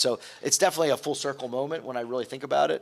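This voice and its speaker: A man talks at a very fast pace, with ordinary pitch variation. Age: 60s. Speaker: hotel executive. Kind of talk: interview. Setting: studio.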